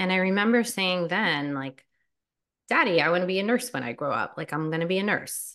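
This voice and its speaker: Over a quiet background, a normal speaking voice moves at a fairly quick pace with lively intonation. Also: woman, medium pitch for a woman. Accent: American. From US, New Jersey. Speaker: nurse and life coach. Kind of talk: guided meditation; interview. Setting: podcast recording.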